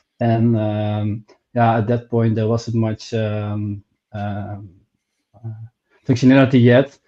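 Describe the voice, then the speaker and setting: This man has a medium pitch and a dark, mellow tone, with monotone, flat intonation. He talks at a very slow pace with long, frequent pauses. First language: not English. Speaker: crypto meme coin project team member. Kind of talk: casual interview. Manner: halting, searching for words.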